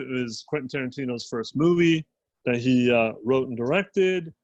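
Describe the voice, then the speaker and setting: A plain, everyday voice, a man with an American accent, moderate in pace with ordinary pitch variation. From New York. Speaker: podcast co-host. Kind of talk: casual chat.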